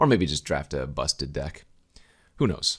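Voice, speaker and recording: Vocal fry in a man's very deep, low voice, at a moderate pace. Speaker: Magic card game drafting streamer. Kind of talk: casual gameplay commentary. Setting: recording at home, just out of bed. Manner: casual, conversational.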